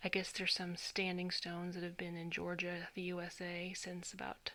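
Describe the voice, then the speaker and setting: The speaker is soft-spoken and moves along at a fairly quick pace. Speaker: tarot reader. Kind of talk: tarot reading video. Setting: at home at night. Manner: halting.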